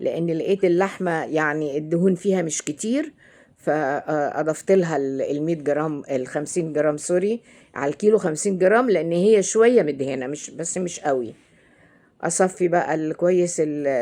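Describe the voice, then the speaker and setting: A dark, mellow tone at a fairly slow pace. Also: woman. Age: 70s. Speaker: cooking channel host. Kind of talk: cooking tutorial. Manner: halting, frequent hesitations and self-corrections.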